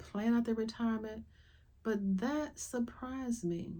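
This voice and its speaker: A woman with an American accent speaks at a fairly high pitch. Her tone is dark and mellow. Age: 70s. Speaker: podcast host. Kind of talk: casual monologue.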